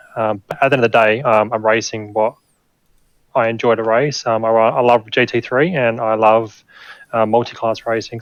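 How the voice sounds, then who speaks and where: A man speaks at a fairly quick pace with an Australian accent. His pitch sits in the medium range, and his intonation stays fairly even. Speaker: sim racing driver. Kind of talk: post-race interview.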